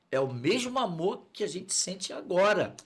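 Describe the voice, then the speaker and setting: The man uses lively intonation. His pace is moderate. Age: 60s. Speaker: pastor. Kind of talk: testimony.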